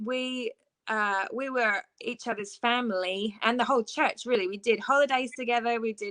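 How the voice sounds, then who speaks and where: A woman with an English accent, a bright, sharp tone and ordinary pitch variation, at a moderate pace, in a dry, close sound with no echo. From southeast England (Ashford, Kent). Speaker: worship leader. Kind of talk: interview. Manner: halting, with fillers.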